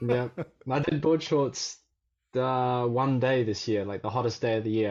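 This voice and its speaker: This man's voice sits at a medium pitch. His pitch variation is ordinary. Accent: Australian. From Australia. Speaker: surf coach. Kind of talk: casual chat.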